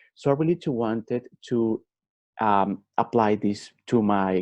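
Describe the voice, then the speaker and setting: A man speaks at a fairly low pitch with lively intonation. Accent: Colombian. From Colombia. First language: Spanish. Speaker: MBA student and life coach. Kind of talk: personal testimony talk. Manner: halting, frequent fillers.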